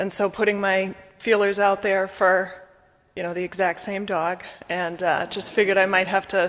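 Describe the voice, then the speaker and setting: A woman's medium-pitched voice, monotone and flat, at a moderate pace. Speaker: congregant. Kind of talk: congregational sharing of joys and concerns. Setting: church service.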